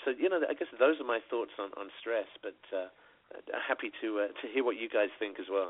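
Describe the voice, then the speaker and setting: Lively intonation marks this man's speech, delivered with a British accent at a moderate pace and medium pitch. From Britain. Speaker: radio co-host. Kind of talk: casual chat. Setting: phone call.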